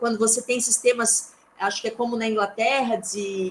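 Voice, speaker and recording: A woman speaks at a moderate pace and a fairly high pitch while noticeable background noise carries on behind her. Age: 40s. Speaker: lecturer. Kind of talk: lecture.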